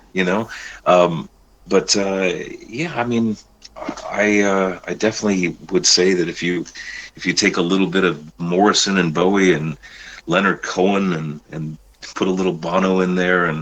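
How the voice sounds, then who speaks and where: Over noticeable background noise, a man with an American accent and very deep, low pitch talks at a moderate pace with fairly even intonation and long, frequent pauses. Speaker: rock singer. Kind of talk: interview. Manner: halting, many fillers.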